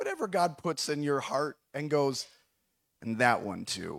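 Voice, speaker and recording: On a very clean recording with a silent background, a man with a fairly high pitch speaks at a very slow pace with an Upper Midwest US accent. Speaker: pastor. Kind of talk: sermon. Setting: church with live stream. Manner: hesitant, halting, many fillers.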